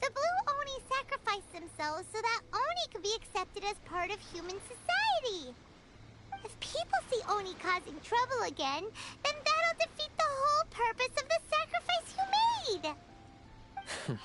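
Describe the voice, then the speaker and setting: An extremely high-pitched put-on character voice at a moderate pace, over loud background noise. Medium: video game. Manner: earnest.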